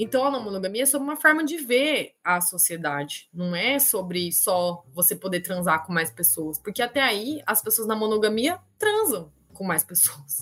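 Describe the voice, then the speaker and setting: Her pitch swings very widely as a woman speaks at a moderate pace. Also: medium pitch for a woman. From Campinas, interior of São Paulo state, Brazil. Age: 30s. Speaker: history teacher. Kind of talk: casual interview.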